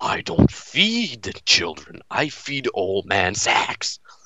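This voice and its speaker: Using a put-on character voice, a man whispers at a very slow pace. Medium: game stream. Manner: boastful.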